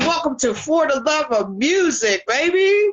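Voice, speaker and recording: This woman has a high pitch. Her pitch swings very widely. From Pittsburgh, US. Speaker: talk show host. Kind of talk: casual interview chat.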